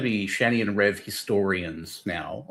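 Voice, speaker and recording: A man with an Australian accent is heard on a very clean recording where the background is silent. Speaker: streamer. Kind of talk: casual chat.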